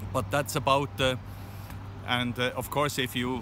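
Against noticeable background noise, the speech comes at a fairly slow pace in a dry sound with no echo. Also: man. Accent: Swiss. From Switzerland. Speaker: interviewee, Swiss resident. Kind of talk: interview answer. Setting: outdoors. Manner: hesitant, halting. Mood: calm, matter-of-fact. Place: street. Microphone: phone near.

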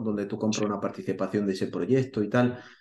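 A man with a fairly low pitch and a dark, mellow tone speaks with fairly even intonation in a room with audible echo. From Spain, Granada (Andalusia); Andalusia, Spain. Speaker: real estate investor and YouTuber; YouTuber. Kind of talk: interview. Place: home room.

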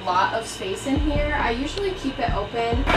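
A woman with clear music in the background. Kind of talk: casual vlog chat. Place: bus. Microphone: camera far.

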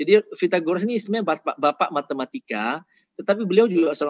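Very fast, lively speech from a man in a dry sound with no echo. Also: quiet background. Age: 50s. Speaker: nutrition doctor and vegan advocate; speaker. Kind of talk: health lecture. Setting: online webinar. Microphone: video call.

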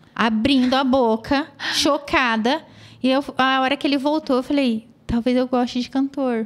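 Her voice is high-pitched, and her loudness stays very even. The woman speaks at a fairly slow pace in a monotone, flat intonation. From interior of São Paulo state, Brazil. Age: 30s. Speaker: children's photographer. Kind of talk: interview, life story.

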